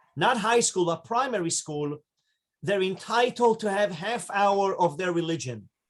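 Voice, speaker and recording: A man with an Israeli accent speaks at a fairly slow pace in a high pitch, his pitch varying in an ordinary way. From Israel, raised in New York from age 12. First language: Hebrew. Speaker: rabbi. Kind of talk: interview storytelling.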